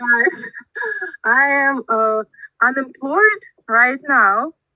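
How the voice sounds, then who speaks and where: A woman speaks very slowly in a high, bright, sharp voice with lively intonation. The sound is dry and close, with no echo. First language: Russian. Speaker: English learner in speaking club. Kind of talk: casual chat. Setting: video call. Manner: halting.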